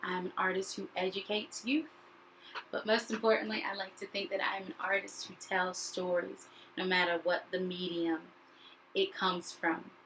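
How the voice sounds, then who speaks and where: With an American accent, a woman with an ordinary speaking voice talks at a moderate pace, her medium pitch showing ordinary variation. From US South, North Carolina. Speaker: actor and educator. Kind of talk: video self-introduction.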